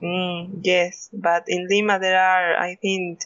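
Speaking very slowly in a Spanish accent, a woman of medium pitch keeps her intonation monotone and flat. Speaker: podcast co-host. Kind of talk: casual chat.

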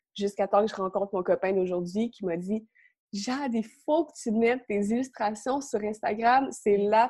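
Speaking at a moderate pace, a woman with a fairly high pitch and a dark, mellow tone uses ordinary pitch variation and big swings in loudness. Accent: Quebec. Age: young. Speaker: illustrator. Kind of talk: interview.

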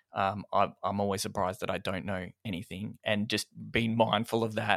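Recorded very clean and dry, close with no echo and a silent background, a man speaks with an Australian accent. His pitch is fairly low and his intonation flat and monotone. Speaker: video editor, post-production. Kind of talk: casual interview.

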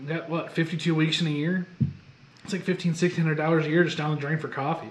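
A man's monotone, flat delivery with a Midwestern American accent, over noticeable background noise. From Michigan. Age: 20s. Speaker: podcast co-host, ministry student. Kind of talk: casual chat.

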